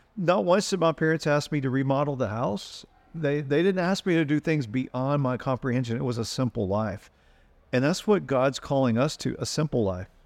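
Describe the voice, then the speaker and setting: A man speaks in a plain, everyday voice, pitched fairly high. His intonation is lively and his pace moderate. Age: 50s. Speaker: pastor and podcast host. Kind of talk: casual chat with sermon-like passages.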